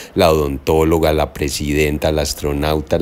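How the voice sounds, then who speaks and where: A man with a very deep, low pitch. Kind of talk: casual vlog tour narration. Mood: excited and proud. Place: hall. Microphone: phone near.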